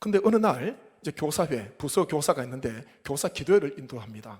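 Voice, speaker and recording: Very wide pitch swings, a somewhat breathy quality and a moderate pace. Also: man. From South Korea, Gyeongsang (Gyeongbuk Gyeongsan). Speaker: pastor. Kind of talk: sermon.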